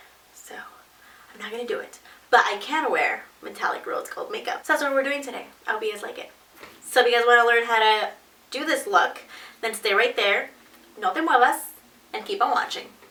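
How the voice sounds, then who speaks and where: Over noticeable background noise and audible room echo, a high-pitched woman speaks at a fairly quick pace, with very wide pitch swings, big swings in loudness, and long, frequent pauses. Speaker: beauty vlogger. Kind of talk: makeup tutorial. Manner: soft-spoken.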